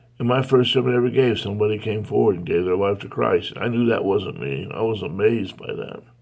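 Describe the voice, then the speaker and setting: A man's fairly low voice at a very fast pace with hardly any pauses, ordinary pitch variation and noticeable background noise. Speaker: pastor. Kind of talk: devotional talk.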